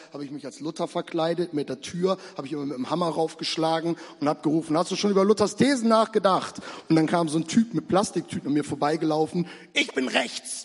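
At a very fast pace, a man talks in an animated tone with a high pitch. He uses ordinary pitch variation. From Bremen, northern Germany. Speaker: preacher, church planting pastor. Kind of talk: evangelistic sermon, preacher in full flow. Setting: stage in church with audience. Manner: animated, fervent, urgent; direct, rhetorical questions, conversational.

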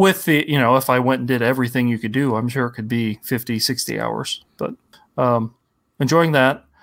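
Speaking fairly quickly with an American accent, a man has a plain, everyday voice at a medium pitch with ordinary pitch variation. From Ohio, US Midwest. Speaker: video game podcast guest. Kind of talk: casual chat.

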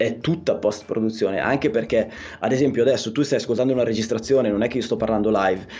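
Intonation stays fairly even as a man talks at medium pitch. He moves very fast. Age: 40s. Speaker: electrician and podcaster. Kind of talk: casual interview chat. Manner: halting.

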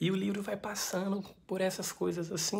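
Here a woman talks at a fairly quick pace. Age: 20s. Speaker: book vlogger. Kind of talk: book review vlog. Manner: casual, chatty.

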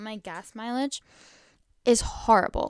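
A woman's animated tone with ordinary pitch variation, in a very clean recording with a silent background. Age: young. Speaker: podcast host. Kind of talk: casual monologue. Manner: rambling, animated.

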